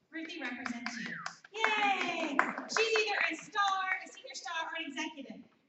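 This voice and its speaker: A woman talks with very wide pitch swings and audible room echo. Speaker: essential oil business trainer. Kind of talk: training seminar presentation. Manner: loud; animated.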